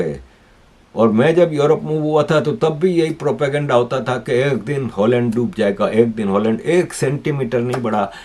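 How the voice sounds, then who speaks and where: With lively intonation and vocal fry, a man talks at a fairly high pitch. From Pakistan, Karachi. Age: 60s. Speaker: political commentator, YouTuber. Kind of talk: news commentary monologue.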